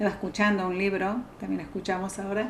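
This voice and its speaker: A woman talks with audible echo from the room around her. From Argentina. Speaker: psychologist. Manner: halting.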